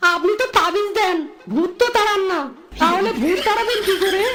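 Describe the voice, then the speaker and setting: In a cartoonish character voice, the speaker goes at a moderate pace in an extremely high pitch, with clear background noise behind. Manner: fast hawker patter.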